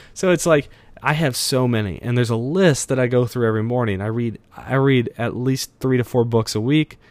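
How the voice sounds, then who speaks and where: In a very clean recording with a silent background, a man at medium pitch speaks with an energetic tone and ordinary pitch variation. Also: fairly quick pace. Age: 20s. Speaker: podcast host. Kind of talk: casual solo talk.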